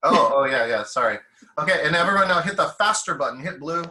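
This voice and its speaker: A man talks at a fairly quick pace in a high voice. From US. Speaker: professional speaker and team-building trainer. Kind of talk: interactive webinar. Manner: fast.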